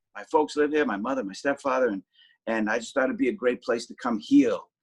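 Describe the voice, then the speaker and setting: This man has a Boston accent. His voice sounds dry and close, without echo. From Boston, South Boston. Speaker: actor and TV travel show host. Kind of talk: interview.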